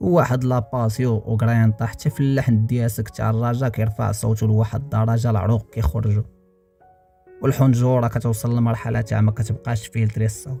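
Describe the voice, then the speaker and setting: A man speaks at a medium pitch with fairly even intonation and very even loudness. Music plays in the background. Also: moderate pace. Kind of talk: storytelling narration.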